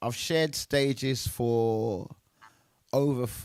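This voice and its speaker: The man speaks at a medium pitch in an animated tone. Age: 60s. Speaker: DJ and music show host. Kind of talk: casual interview chat.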